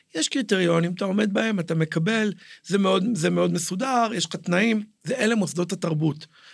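On a very clean recording with a silent background, a man with a high pitch talks fairly quickly, his pitch varying in an ordinary way. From Israel, Jerusalem. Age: 40s. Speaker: cultural entrepreneur and theatre director. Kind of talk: podcast interview. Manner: halting.

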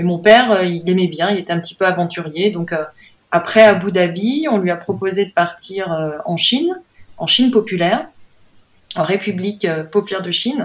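Pausing long and often, a woman speaks at a medium pitch with ordinary pitch variation. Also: moderate pace. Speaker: painter. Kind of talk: interview. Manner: halting.

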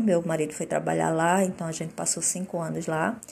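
A woman's dark, mellow, somewhat breathy voice in a very clean recording with a silent background. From Olinda, Pernambuco, northeastern Brazil. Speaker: integrative therapist and podcaster. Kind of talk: personal testimony monologue. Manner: halting, with frequent fillers and repetitions.

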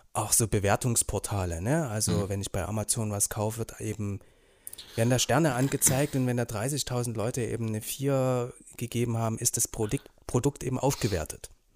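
Dry and close with no echo, this plain, everyday voice moves at a moderate pace with ordinary pitch variation. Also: man, medium pitch for a man. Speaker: school social worker. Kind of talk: casual chat.

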